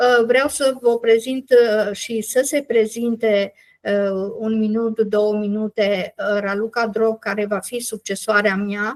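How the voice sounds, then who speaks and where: A woman speaks very slowly at a fairly high pitch. Her intonation is fairly even, on a very clean recording with a silent background. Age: 70s. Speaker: NGO leader. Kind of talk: meeting presentation. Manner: halting, many fillers.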